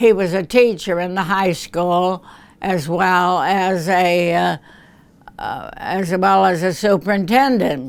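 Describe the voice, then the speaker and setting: The speaker has an American accent and talks at a very slow pace. The recording is very clean, with a silent background. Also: woman. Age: 80s+. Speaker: retired school principal. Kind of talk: interview reminiscence. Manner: halting.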